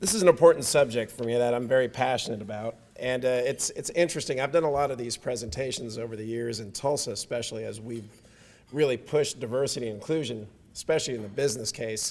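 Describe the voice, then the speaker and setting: A man with a mid-range voice talks very rapidly, and his pitch shifts in a usual way. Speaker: diversity and inclusion speaker. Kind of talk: presentation to audience. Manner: hesitant, many fillers.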